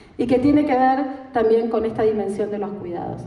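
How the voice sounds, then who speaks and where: Amid noticeable background noise and audible room echo, a woman with a fairly high pitch talks at a moderate pace. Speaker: lecturer on gender and care policy. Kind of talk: lecture.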